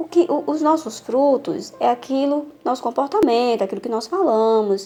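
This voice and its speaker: Noticeable background noise sits behind a woman with a northeastern Brazilian accent. She talks at a moderate pace in a high voice. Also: lively intonation. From Northeast Brazil. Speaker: women's Bible teacher. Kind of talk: Bible teaching.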